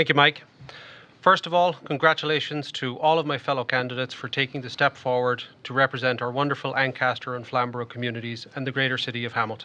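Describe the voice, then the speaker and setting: Talking very fast with a bright, sharp tone, a man with an Irish accent keeps a medium pitch and fairly even intonation. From Ireland. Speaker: municipal election candidate. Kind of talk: prepared opening statement in debate.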